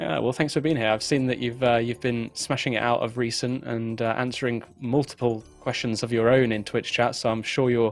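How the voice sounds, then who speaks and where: Fairly quick, medium-pitched speech from a man, set against music in the background. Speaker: livestream host. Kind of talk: live stream introduction. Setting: home room with green screen.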